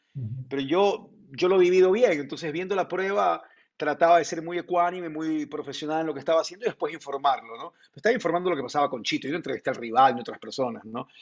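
Pitched fairly high, a man talks at a very fast pace with lively intonation. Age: 50s. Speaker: sports journalist. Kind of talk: interview.

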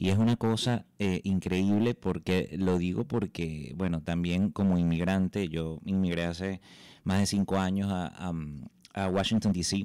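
A man with a Venezuelan accent, very deep and low in pitch, dark and mellow in tone, with fairly even intonation, on a very clean recording with a silent background. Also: fairly slow pace. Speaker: journalist, podcast host. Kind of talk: interview.

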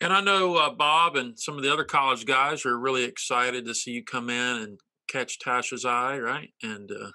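Over a quiet background, a man with an American accent talks at a moderate pace with hardly any pauses, using a medium pitch, ordinary pitch variation and a bright, sharp tone. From North Carolina. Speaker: pastor and interview host. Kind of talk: casual interview conversation. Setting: video call.

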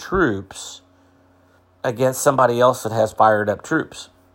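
This man has a medium pitch and a Midwestern US accent, speaking at a moderate pace. The recording is very clean, with a silent background. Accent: US Midwest. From central Illinois. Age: 60s. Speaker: agriculture podcaster. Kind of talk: solo commentary podcast. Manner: halting, many repetitions.

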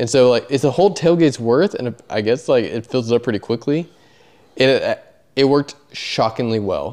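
With a medium pitch and typical pitch movement, a man delivers his words at a moderate speed. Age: 30s. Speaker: podcast host and amateur racer. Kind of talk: casual chat.

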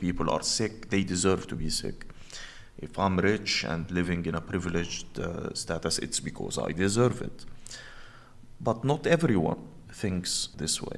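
This man has an Arabic accent. His voice is very deep and low. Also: moderate pace. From Egypt, Cairo. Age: 40s. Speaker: journalist and activist. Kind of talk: interview.

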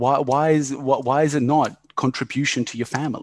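A man's fairly high voice in an Australian accent, set against a quiet background. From Yugoslavia, raised in Australia. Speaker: business owner. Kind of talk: casual chat.

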